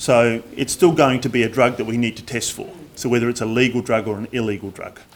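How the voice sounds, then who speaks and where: Very fast speech comes from a man whose pitch is medium. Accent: Australian. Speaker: drug and alcohol awareness trainer. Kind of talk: presentation. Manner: loud.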